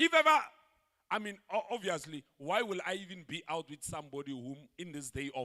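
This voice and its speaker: With an animated, bright, sharp tone, a man talks at a fairly quick pace, his pitch swinging very widely. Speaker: pastor. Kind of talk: sermon. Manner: loud.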